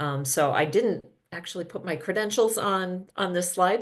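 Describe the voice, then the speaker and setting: A woman talks in an American accent at a moderate pace and medium pitch. The background is quiet. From US Midwest, Minnesota. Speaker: physical therapy professor and researcher. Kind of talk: conference presentation. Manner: hesitant, many filler ums.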